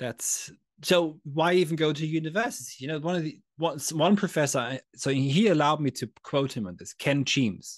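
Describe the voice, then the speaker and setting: A man talks at a moderate pace with lively intonation and big swings in loudness. The background is quiet. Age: 30s. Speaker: philosophy teacher. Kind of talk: casual conversation. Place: home room.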